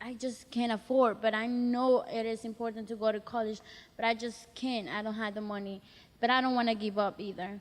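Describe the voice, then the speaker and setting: Here is a woman with a Spanish accent and a fairly high voice. Her intonation is monotone and flat. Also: fairly quick pace. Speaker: college student, youth program participant. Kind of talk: personal storytelling testimony. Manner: halting.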